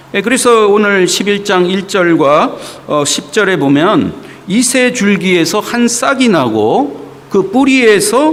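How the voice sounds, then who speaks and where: Speaking very slowly in a high pitch, a man uses lively intonation, with noticeable background noise and audible room echo. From South Korea, Gyeongsang (Daegu), then Seoul. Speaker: visiting pastor. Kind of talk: sermon. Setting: church. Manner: many filler sounds (어, 예).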